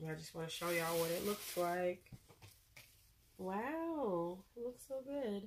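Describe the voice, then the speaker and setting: With lively intonation, a woman speaks very slowly at a medium pitch, taking long, frequent pauses. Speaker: beauty vlogger. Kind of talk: unboxing video. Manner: casual, chatty.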